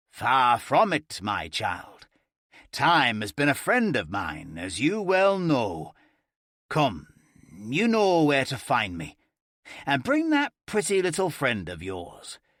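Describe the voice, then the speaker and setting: In a put-on, raspy character voice, a man speaks fairly slowly at a fairly high pitch, with long, frequent pauses. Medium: read story. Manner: all-knowing, amused.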